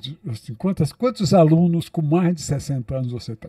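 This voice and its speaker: This man's voice has a dark, mellow tone and is somewhat breathy. His pitch sits fairly high and swings very widely. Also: dry, close sound with no echo. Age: 70s. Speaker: psychologist, podcast host. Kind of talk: interview conversation. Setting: podcast studio.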